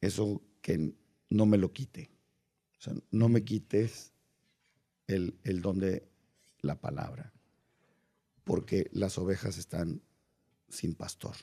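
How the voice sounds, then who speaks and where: A man speaks at a very slow pace with long, frequent pauses. His voice is fairly low in pitch, with a dark, mellow tone. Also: ordinary pitch variation, quiet background. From Mexico. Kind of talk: casual interview. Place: studio. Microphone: studio mic.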